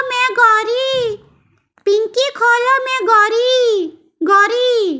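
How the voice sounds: Cartoonish character voice from a woman at a very slow pace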